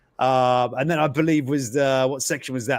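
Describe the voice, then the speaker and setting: Pitched fairly high, a man's voice carries a British accent. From Britain. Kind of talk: casual interview chat. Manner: halting, many fillers.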